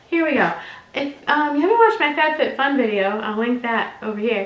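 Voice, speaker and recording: Fairly quick and lively in intonation, a woman speaks amid noticeable background noise and audible room echo. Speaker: lifestyle youtuber. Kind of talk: casual unboxing vlog. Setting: at home, upstairs room.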